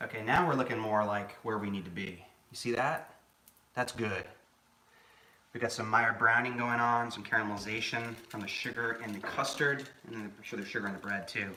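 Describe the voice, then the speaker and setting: A man's calm, soothing voice at medium pitch, with an American accent, fairly even intonation and a fairly quick pace, plus noticeable background noise and audible room echo. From New England, Boston. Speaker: home cook, former chef. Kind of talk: live cooking stream chat. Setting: home kitchen live stream. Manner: casual, conversational.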